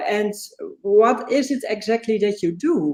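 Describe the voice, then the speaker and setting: A woman speaks at a fairly slow pace with a fairly high pitch. She has a non-native accent. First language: not English. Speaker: interviewer, channel host. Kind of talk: interview. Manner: halting.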